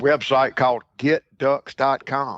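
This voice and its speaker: A man talks with a Mississippi accent. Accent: Mississippi Southern. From Mississippi Delta, US South. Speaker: duck hunting broker. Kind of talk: podcast interview. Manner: halting, repeats words.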